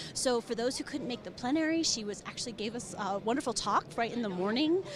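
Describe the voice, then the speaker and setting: A woman talks with an American accent and ordinary pitch variation. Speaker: business manager of a professional organization. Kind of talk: conference interview. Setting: conference floor. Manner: animated.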